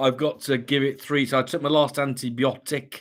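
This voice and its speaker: An ordinary speaking voice moves at a fairly quick pace. The recording is very clean with a silent background. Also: man. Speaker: livestream host. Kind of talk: casual chat.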